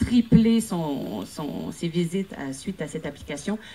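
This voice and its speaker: A woman with a Quebec accent speaks at a moderate pace. Her pitch sits fairly low. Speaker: actress and producer pitching a project. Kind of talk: conference project pitch. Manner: halting, many hesitations.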